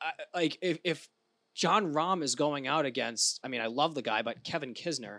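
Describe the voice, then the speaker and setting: A man speaks with an American accent. His tone is bright and sharp, his pace moderate. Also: fairly high pitch for a man, ordinary pitch variation, dry, close sound with no echo. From Rhode Island, US. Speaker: golf podcast co-host. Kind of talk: casual chat.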